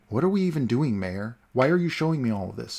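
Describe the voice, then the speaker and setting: A man puts on a character voice at a very fast pace. His medium pitch swings very widely. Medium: read story.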